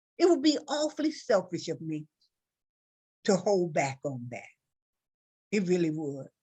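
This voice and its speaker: Her pitch is fairly low for a woman and swings very widely. She speaks at a fairly slow pace. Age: 60s. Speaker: talk show host. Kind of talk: emotional interview talk.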